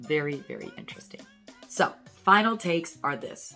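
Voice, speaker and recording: With music playing in the background, a woman with a very deep, low pitch speaks in an upbeat tone at a moderate pace. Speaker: urologist, medical educator. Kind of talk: educational talk to camera on health. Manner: upbeat, casual, conversational.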